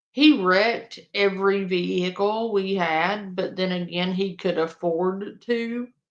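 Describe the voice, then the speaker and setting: In a Louisiana accent, a fairly slow pace with hardly any pauses and fairly even intonation. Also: woman, medium pitch for a woman. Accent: Cajun Southern US. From Louisiana, US South (Cajun). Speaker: streamer reacting to online drama. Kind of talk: casual livestream chat.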